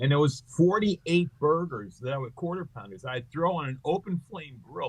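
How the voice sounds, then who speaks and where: Somewhat breathy and fairly high in pitch, a man's voice rises and falls sharply in loudness. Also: lively intonation, moderate pace. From Long Island, New York. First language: Greek. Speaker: comedian. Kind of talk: interview, casual chat. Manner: animated.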